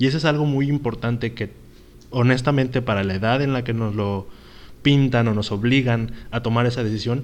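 A man speaks in a normal speaking voice, medium in pitch. His pace is fairly quick and his intonation fairly even. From Mexico. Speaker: podcast co-host. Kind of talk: casual chat.

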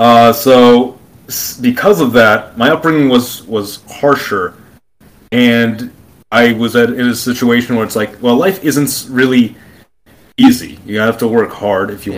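A man speaks with an American accent at a fairly slow pace, in a normal speaking voice. His pitch is medium, with ordinary pitch variation. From Brooklyn, New York. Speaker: YouTuber on alternate history and politics. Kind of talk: long-form interview conversation.

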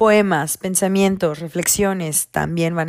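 A woman with a fairly low pitch and fairly even intonation is heard in a dry, close sound with no echo. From Mexico, Campeche. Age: 20s. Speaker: podcast host. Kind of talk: casual monologue.

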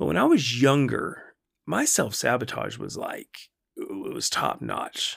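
Over a silent background in a very clean recording, a man talks in a relaxed tone at a fairly slow pace. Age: 40s. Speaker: podcast host, wellness coach. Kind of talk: casual solo monologue. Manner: relaxed, conversational with frequent fillers.

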